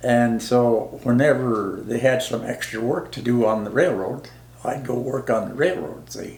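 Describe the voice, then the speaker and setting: A man at a medium pitch with ordinary pitch variation and a fairly slow pace, over noticeable background noise. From South Dakota. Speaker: war veteran. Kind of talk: interview answer. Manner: casual, rambling.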